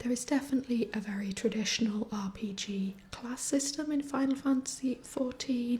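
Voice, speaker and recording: A soft-spoken woman with a high voice and a calm tone talks at a moderate pace with hardly any pauses and ordinary pitch variation, over noticeable background noise. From northern England. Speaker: fantasy writer and gamer. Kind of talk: soft-spoken ASMR gaming commentary. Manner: soft-spoken, calm.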